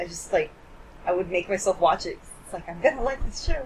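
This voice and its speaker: Somewhat breathy and with lively intonation, a woman talks at a fairly quick pace and medium pitch. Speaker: podcast host. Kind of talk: casual chat. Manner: joking, animated.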